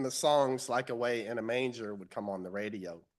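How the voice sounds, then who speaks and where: Against a quiet background, a man with a Southern US accent speaks with ordinary pitch variation. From US South, Central Florida. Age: 60s. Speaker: lay speaker at church. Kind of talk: sermon-style personal reflection.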